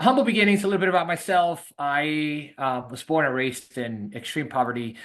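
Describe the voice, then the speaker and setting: Speaking with a Spanish accent, a man uses lively intonation. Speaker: real estate investor. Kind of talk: webinar presentation. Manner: many fillers and hesitations.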